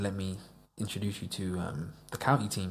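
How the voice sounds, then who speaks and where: A man speaks in a very deep, low voice. There is audible echo in the room. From US, Florida (Davenport), moved to England as a child. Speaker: musician. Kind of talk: casual chat. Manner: animated.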